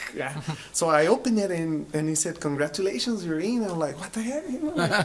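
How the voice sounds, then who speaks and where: A man with a strong Spanish accent speaks at a fairly quick pace in a high voice, with noticeable background noise. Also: lively intonation. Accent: heavy Spanish. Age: 30s. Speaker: business owner, x-ray technologist. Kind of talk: casual interview. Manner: halting, many fillers.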